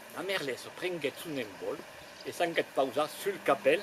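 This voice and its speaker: A man's high-pitched voice is heard with noticeable background noise around it. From Grésigne forest area, Tarn, southern France. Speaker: storyteller. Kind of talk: oral storytelling performance to live audience.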